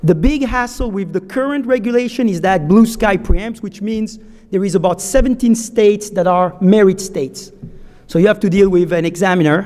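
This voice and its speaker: Speaking at a fairly quick pace with a French accent, a man with a high-pitched voice uses ordinary pitch variation over noticeable background noise. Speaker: securities lawyer, conference speaker. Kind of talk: conference talk. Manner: halting.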